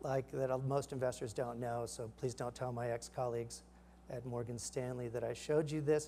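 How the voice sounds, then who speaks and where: Somewhat breathy and dark, mellow in tone, a man speaks with fairly even intonation over light background noise. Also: moderate pace. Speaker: startup founder giving a product demo; presenter. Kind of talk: live product demo. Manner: halting, many fillers. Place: stage.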